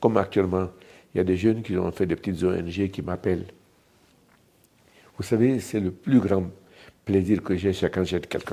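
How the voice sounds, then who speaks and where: At a moderate pace, the voice carries a dark, mellow tone with fairly even intonation and long, frequent pauses. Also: man, very deep, low pitch for a man. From Guinea, Dubreka. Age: 70s. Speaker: entrepreneur. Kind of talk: interview.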